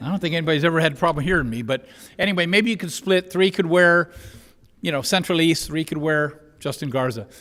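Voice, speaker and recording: A man talks loudly at a very fast pace with ordinary pitch variation. His voice is high-pitched with a bright, sharp tone. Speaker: mock trial team coach. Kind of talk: public meeting recognition. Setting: school board meeting room.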